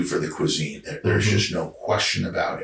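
A man's voice in an American accent, with audible room echo. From Georgia. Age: 40s. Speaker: founder of a hunting brand. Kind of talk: casual chat. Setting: living room.

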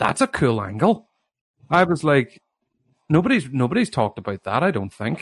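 With a Northern Irish accent and vocal fry, a man at a fairly high pitch makes very wide pitch swings at a moderate pace, leaving long, frequent pauses in a dry, close sound with no echo. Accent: Derry Northern Irish. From Northern Ireland, Derry. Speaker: author. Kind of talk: interview.

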